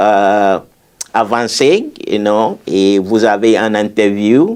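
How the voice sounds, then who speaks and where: A man with a non-native accent talks with ordinary pitch variation. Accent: foreign accent in French. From former British colony. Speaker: memoir author, immigrant. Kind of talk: interview. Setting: college room, filmed interview. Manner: halting, many repetitions and fillers.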